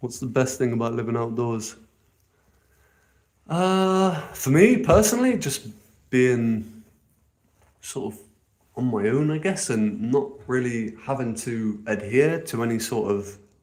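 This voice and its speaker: In a room with audible echo, a man with an English accent speaks fairly slowly at a medium pitch, his intonation lively and broken by long, frequent pauses. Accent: posh, well-spoken English. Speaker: outdoor living vlogger. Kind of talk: casual live stream chat. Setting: outdoors.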